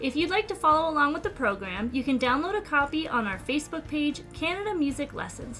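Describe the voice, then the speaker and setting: Here a woman talks at a fairly quick pace. Faint music sits in the background. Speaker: event host. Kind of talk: scripted welcome announcement. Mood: warm, cheerful.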